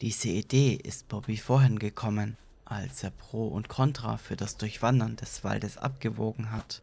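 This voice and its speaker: A man talks at a very slow pace with vocal fry. The recording is very clean, with a silent background. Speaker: podcast narrator. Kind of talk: horror story narration, read aloud as a creepypasta.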